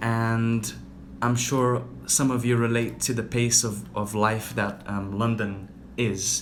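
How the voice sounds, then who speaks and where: A man's medium-pitched, monotone, flat delivery at a very slow pace, with audible room echo. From Brazil (Rio de Janeiro). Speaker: yoga teacher. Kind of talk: casual livestream talk.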